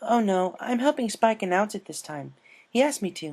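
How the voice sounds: At a moderate pace, a man puts on a character voice, high in pitch with a slightly mellow tone, lively intonation and vocal fry.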